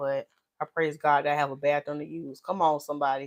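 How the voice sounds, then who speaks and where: Talking at a very fast pace, a woman speaks with a very deep, low pitch. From US South, North Carolina (Winston-Salem). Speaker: natural hairstylist and YouTuber. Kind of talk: live stream Q&A chat. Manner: animated, loud.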